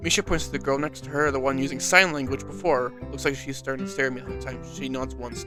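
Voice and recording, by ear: Text is being read aloud in a natural voice.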